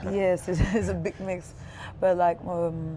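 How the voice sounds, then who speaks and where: In a French accent, a woman speaks at a fairly low pitch and a fairly slow pace, her dark, mellow tone paired with fairly even intonation. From France, Paris area. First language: Spanish and French. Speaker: creative studio founder. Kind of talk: casual interview. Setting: outdoors.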